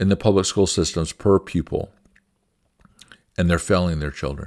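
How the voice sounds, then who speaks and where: A man's very deep, low voice, with fairly even intonation, comes through a dry, close sound with no echo. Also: moderate pace. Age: 60s. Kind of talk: opinion talk.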